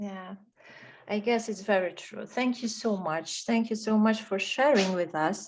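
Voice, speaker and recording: A woman speaks at a fairly slow pace with a Polish accent, her pitch medium and its variation ordinary. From Poland, Warsaw. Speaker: webinar presenter. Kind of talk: online webinar moderation.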